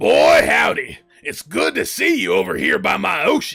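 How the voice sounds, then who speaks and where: A man puts on a raspy character voice in a Southern US accent, keeping a moderate pace. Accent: Southern American. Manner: friendly, folksy.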